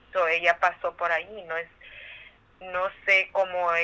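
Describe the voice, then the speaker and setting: Monotone and flat in intonation, a woman talks at a fairly low pitch. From Mexico, Michoacán. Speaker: trafficking survivor and foundation founder. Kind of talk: interview testimony. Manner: halting.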